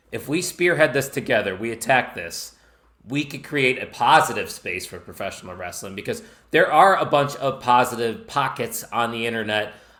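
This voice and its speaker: Speaking with a Chicago accent, a man at medium pitch sounds animated, with a bright, sharp tone, lively intonation, big swings in loudness and a moderate pace. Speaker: wrestling podcast host and network founder. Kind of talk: podcast interview. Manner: casual, animated.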